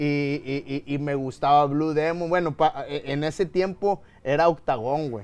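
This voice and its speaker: A man speaks at a fairly slow pace in a fairly high voice. His tone is animated. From Mexico, Nuevo León (Guadalupe). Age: 30s. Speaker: mixed martial arts fighter and analyst. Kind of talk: casual chat.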